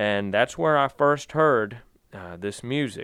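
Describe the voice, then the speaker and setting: With a Virginia accent, a man talks at a moderate pace with ordinary pitch variation against a quiet background. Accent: Southern US (Virginia). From Virginia, Danville. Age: 30s. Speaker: bluegrass singer. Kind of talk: interview.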